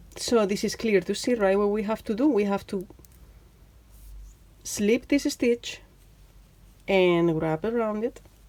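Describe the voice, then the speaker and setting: With a Spanish accent and a dark, mellow tone, a woman speaks at a fairly slow pace with ordinary pitch variation. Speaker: knitting teacher. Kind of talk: tutorial. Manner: chatty; halting, many fillers.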